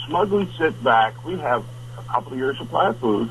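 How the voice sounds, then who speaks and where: A man with an American accent and a medium pitch speaks at a moderate pace with lively intonation over noticeable background noise. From New Jersey, US. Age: 70s. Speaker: wilderness trapper and guide. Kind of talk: radio interview. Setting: two-way radio from remote cabin.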